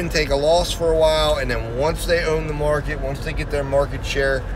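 A man talks at a moderate pace. Noticeable background noise sits behind him. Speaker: delivery driver vlogger. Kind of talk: casual vlog chat. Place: car. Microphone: phone near.

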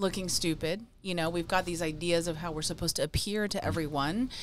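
A woman's fairly low pitch at a fairly quick pace, fairly even in intonation, over light background noise. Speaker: podcast co-host. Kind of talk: podcast conversation. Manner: calm, serene. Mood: reflective, earnest. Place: studio. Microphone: studio mic.

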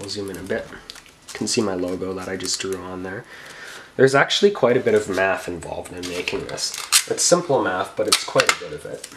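A man talks at a fairly quick pace. Noticeable background noise runs under the recording. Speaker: YouTube PC builder. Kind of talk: casual tutorial vlog. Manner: rambling, casual, self-talking.

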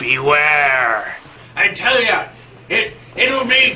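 Over clear background noise, a man puts on a character voice, high-pitched with very wide pitch swings. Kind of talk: comic overacting. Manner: ominous, theatrical warning.

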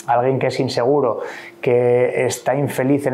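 A man's voice at a moderate pace, with monotone, flat intonation. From Asturias, Spain. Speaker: sports federation president, former Olympic canoeist; guest. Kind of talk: interview. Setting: at his home. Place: meeting room. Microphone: lapel.

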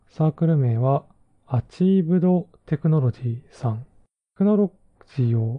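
A man talks at a moderate pace in a somewhat breathy, fairly high voice with lively intonation. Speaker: podcast host and web/Android engineer. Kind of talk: solo podcast talk reviewing books.

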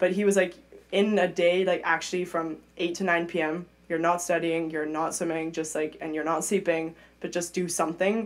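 This woman's voice is fairly low in pitch. Her intonation stays monotone and flat. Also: moderate pace. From Europe, mixed (grew up partly in London). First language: German. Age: 20s. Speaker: Olympic swimmer; podcast guest. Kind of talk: casual interview chat. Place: studio. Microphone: studio mic.

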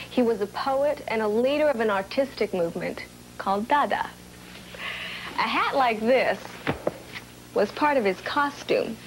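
A high-pitched woman speaks at a very even loudness with ordinary pitch variation and long, frequent pauses, over light background noise. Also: moderate pace. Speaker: entertainer. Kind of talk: TV segment presentation to camera.

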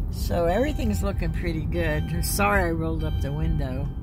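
Music plays in the background of this dry, echo-free recording as the speaker talks at a fairly quick pace. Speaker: vlogger filming from passenger seat. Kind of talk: casual vlog chat. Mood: relaxed, a little sad. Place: car. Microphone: phone near.

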